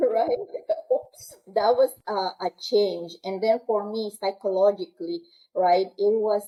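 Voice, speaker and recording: A woman speaks at a medium pitch with a strong Peruvian accent. Her pace is fairly slow. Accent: heavy Peruvian Spanish. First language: Quechua. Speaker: military aircrew member. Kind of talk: interview. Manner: halting.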